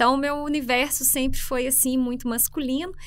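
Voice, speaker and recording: A woman speaks in a high voice with a Minas Gerais accent. Her pitch varies in an ordinary way. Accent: Minas Gerais (mineiro). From Brazil, interior of Minas Gerais. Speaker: public administration school head, economist; podcast guest. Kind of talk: interview conversation. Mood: warm, relaxed, slightly humorous. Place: studio. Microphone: studio mic.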